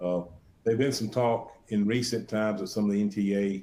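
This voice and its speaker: Speaking fairly quickly with an Alabama accent, a man has a fairly low pitch, a dark, mellow tone and monotone, flat intonation. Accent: Alabama Southern. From US South, Alabama. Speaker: sales presenter. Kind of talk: webinar presentation. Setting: online webinar. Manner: halting, many fillers and repeated words.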